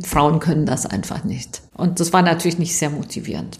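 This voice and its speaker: A woman talks at a fairly quick clip with a fairly low pitch and fairly even intonation. Noticeable background noise runs underneath. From Germany. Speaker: aerospace engineer. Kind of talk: interview.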